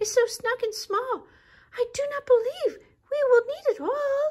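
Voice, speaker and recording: In a put-on character voice, a female-sounding voice squeaks at an extremely high pitch and a moderate pace. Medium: read story.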